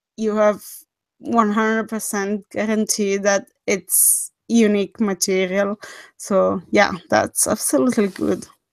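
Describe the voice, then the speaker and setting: A woman of medium pitch with a non-native accent speaks at a very slow pace and with fairly even intonation, in a very clean recording with a silent background and a dry, close sound with no echo. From Switzerland. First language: not English. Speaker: horror story narrator, livestream host. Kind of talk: casual livestream chat.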